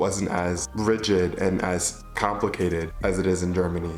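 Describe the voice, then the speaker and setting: Music plays behind a man with a Midwestern accent whose very deep, low voice shows ordinary pitch variation. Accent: American Midwest. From Michigan, USA. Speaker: vlogger. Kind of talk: casual talk to camera.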